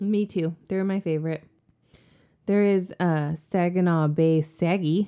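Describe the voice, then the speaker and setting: A woman with an American accent speaks at a fairly low pitch. Her tone is dark and mellow, with fairly even intonation. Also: fairly slow pace. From US South, born New Orleans, later Michigan. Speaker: podcast co-host. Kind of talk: casual chat. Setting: home basement studio.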